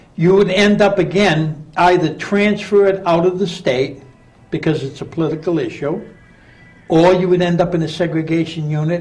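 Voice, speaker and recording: High pitch from a man at a moderate pace, with fairly even intonation, audible room echo and music in the background. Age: 60s. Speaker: prison reformer, former prisoner. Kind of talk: radio interview.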